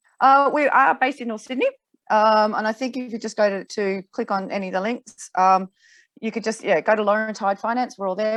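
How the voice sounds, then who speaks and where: A woman speaks in an Australian accent, fairly high in pitch and at a fairly quick pace, with ordinary pitch variation. The sound is dry and close with no echo over a quiet background. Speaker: finance broker. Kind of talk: interview. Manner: fast.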